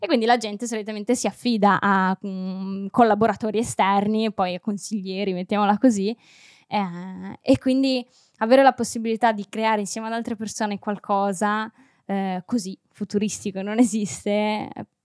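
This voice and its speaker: A woman speaks in a plain, everyday voice at medium pitch, with fairly even intonation and a moderate pace. The recording is very clean and dry, close-miked with no echo and a silent background. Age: 20s. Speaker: set designer. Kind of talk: casual chat.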